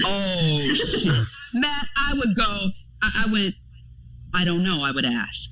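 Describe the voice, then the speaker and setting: A woman with an American accent speaks at a very slow pace, with long, frequent pauses, very wide pitch swings and very even loudness. Noticeable background noise and audible room echo fill the recording. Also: medium pitch for a woman. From Florida. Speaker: clinical psychology doctoral student. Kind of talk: casual chat.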